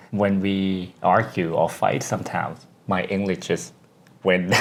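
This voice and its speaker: Over noticeable background noise, a man with a Thai accent talks at a fairly low pitch. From Thailand. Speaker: podcast co-host. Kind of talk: casual chat.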